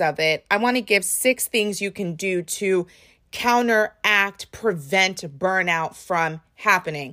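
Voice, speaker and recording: A woman's medium-pitched voice, bright and sharp in tone, animated and with lively intonation, on a very clean recording with a silent background. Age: 30s. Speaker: podcast host and spin instructor. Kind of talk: casual solo podcast monologue.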